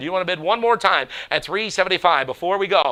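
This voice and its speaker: A man with a high pitch speaks very fast and in an animated tone over noticeable background noise. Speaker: auctioneer. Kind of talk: live auction calling.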